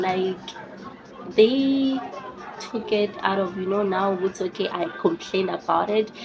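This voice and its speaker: A woman speaks at a medium pitch with ordinary pitch variation. Noticeable background noise is present. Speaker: YouTuber. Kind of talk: casual storytelling vlog. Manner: animated.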